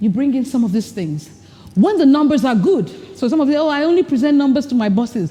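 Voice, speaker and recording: Through noticeable background noise, a woman speaks in an animated tone at a high pitch. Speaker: leadership speaker. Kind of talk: workshop presentation. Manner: fast.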